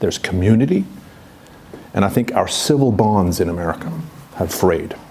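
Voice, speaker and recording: Lively intonation from a man, set against noticeable background noise. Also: fairly low pitch for a man, moderate pace. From Sweden and Vancouver, Canada. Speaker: historian, professor. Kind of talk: seminar talk. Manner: hesitant, many fillers.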